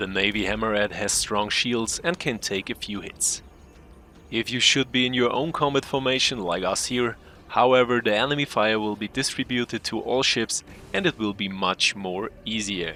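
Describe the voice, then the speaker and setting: Using a medium pitch and a bright, sharp tone, a man with a non-native accent speaks at a moderate pace with ordinary pitch variation. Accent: non-native English accent, self-described. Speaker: gaming youtuber. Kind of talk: tutorial; scripted narration. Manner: careful, read from script.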